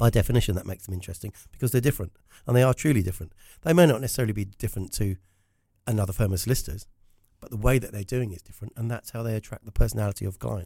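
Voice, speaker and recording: Speaking very fast in a southern English accent, a man has a fairly low, dark, mellow voice that is somewhat breathy, with big swings in loudness. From South Africa. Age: 50s. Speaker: business storytelling consultant. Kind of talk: casual interview chat.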